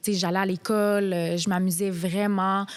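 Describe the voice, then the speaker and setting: An ordinary speaking voice at a fairly slow pace, in a very clean recording with a silent background. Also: woman. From Quebec, immigrated from Morocco at age 7. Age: 20s. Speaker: reality TV contestant. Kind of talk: podcast interview.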